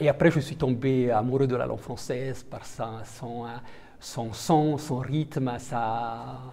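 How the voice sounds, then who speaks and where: Through audible room echo, a man with an Italian accent speaks very slowly at medium pitch with fairly even intonation. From Italian-speaking Switzerland. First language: Italian (speaking French). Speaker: diplomat. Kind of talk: interview. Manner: halting, many hesitations.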